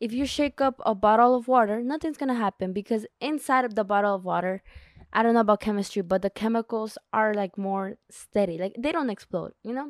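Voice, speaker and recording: On a very clean recording with a silent background, a woman with a non-native accent speaks at a fairly quick pace in a fairly high pitch, with ordinary pitch variation and a dry, close sound with no echo. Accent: non-native accent, mentions her. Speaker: self-help podcast host. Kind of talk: solo podcast monologue, book summary. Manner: casual, conversational with self-corrections.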